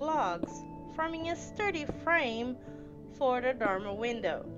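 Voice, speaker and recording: A woman talks while music plays in the background. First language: not English. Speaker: Minecraft building tutorial creator. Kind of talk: tutorial voiceover.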